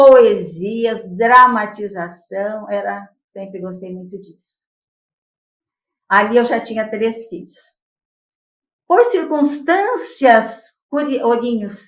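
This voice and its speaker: A woman with a fairly high pitch at a very slow pace, lively intonation, big swings in loudness, and long, frequent pauses. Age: 70s. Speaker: spiritist lecturer and poet. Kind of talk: interview testimony.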